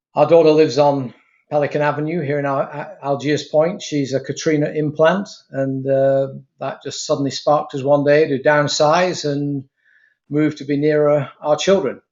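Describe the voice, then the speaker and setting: Moderate-paced speech in a monotone, flat intonation. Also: man, fairly high pitch for a man. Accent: British. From Britain. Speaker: retired aerospace worker, program leader. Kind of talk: interview.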